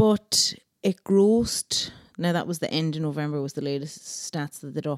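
A woman with an Irish accent speaks in a very deep, low pitch, the sound dry and close with no echo. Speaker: podcast co-host. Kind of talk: casual chat.

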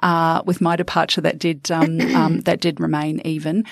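A woman with a New Zealand accent talks at a moderate pace in a fairly low pitch, her intonation fairly even. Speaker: former politician. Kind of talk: panel discussion. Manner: halting.

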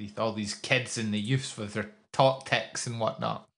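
A man with a Scottish accent, medium-pitched, at a moderate pace with ordinary pitch variation, against a quiet background. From Scotland. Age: 20s. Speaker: esports podcast co-host. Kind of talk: casual chat.

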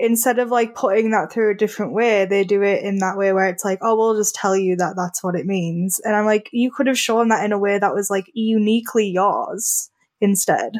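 A woman with a medium pitch and ordinary pitch variation talks at a fairly quick pace with hardly any pauses. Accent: British. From Britain. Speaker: graphic designer and writer. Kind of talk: casual interview about films.

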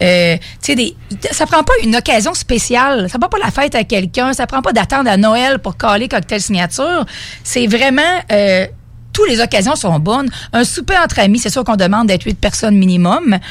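Her voice is fairly high for a woman, with very wide pitch swings. She keeps a moderate pace. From Beauce, Quebec. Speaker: mobile cocktail bartender, entrepreneur. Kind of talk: radio interview. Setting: radio studio.

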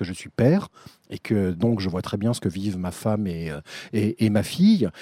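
The recording is very clean with a silent background, giving a man's dark, mellow tone a dry, close sound with no echo. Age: 50s. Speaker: TV producer. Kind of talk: casual chat. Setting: outdoors.

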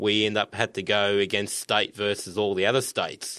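An Australian-accented man with a fairly low pitch, a bright, sharp tone and a fairly slow pace, on a very clean recording with a silent background. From Sunshine Coast, Queensland, Australia. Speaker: butcher and sales manager. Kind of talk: casual interview.

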